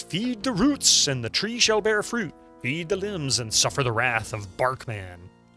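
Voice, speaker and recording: Over faint music, a man bellows in a put-on character voice, booming and projected at a fairly high pitch. His pitch swings very widely while he keeps a moderate pace. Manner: bellowing, booming.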